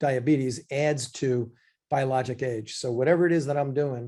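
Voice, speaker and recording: A man's somewhat breathy voice, medium in pitch and dark and mellow in tone, with fairly even intonation at a moderate pace. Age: 60s. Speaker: physician. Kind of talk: lecture. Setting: live online class.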